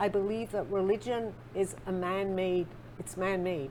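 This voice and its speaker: Speaking with an English accent, a woman keeps a moderate pace. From England. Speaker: spiritual author and psychic. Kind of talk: interview.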